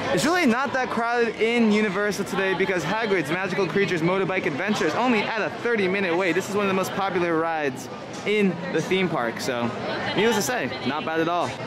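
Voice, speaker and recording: A man at a very fast pace with ordinary pitch variation, music in the background. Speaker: theme park vlogger. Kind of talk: casual vlog chat. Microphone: phone near.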